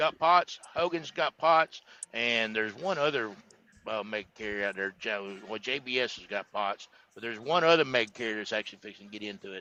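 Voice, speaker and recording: In a dry, close recording with no echo, a man talks at a fairly quick pace in an ordinary speaking voice of medium pitch. His intonation is lively, and his loudness swings widely. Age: 60s. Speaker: cattle hauler. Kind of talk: casual chat. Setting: live stream.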